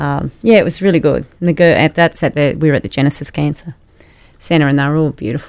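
A woman speaks very fast with an Australian accent. Her pitch is very deep and low, with ordinary variation. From Rockhampton, Queensland, Australia. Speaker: wife of a sports executive. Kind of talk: interview. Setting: studio.

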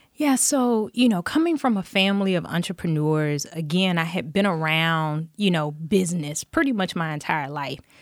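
In an American accent, a woman with an ordinary speaking voice and fairly low pitch talks at a moderate pace with lively intonation and hardly any pauses, on a very clean recording with a silent background. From US South, Dothan, Alabama. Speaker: business owner. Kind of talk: interview.

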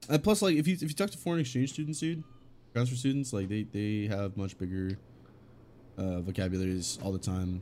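Lively in intonation, a man with an American accent speaks at a fairly low pitch with a dark, mellow tone. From California. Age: 20s. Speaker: podcast co-host, streamer manager. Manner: joking, casual.

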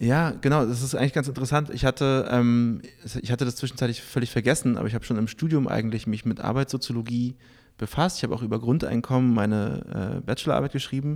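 Over a silent background in a very clean recording, a man with a medium-pitched voice speaks very fast with fairly even intonation. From Berlin, Germany. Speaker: journalist and event moderator. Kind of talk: interview. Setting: on location in a Berlin club.

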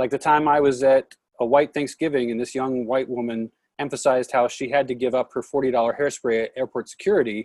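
At a fairly quick pace, a man with an American accent and an unremarkable speaking voice talks at a medium pitch with ordinary pitch variation. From Oregon, US. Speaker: podcast host. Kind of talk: casual chat.

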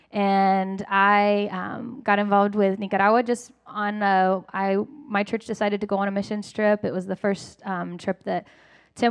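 This woman has a normal speaking voice, an American accent and a medium pitch, and she talks at a moderate pace. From Lakeland, US. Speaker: missionary. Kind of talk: testimony. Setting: church.

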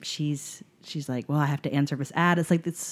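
Recorded very cleanly over a silent background, a woman speaks with an American accent in a very deep, low voice. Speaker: podcast guest. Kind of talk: casual chat.

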